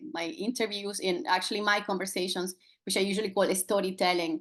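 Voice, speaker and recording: This woman talks with a Spanish accent at a medium pitch. Her pace is fairly quick. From Venezuela. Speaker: podcast host. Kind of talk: podcast interview. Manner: halting.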